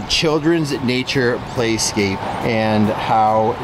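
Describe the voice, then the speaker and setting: A man speaks against noticeable background noise. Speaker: pond builder vlogger. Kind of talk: casual vlog chat. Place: street. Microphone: phone near.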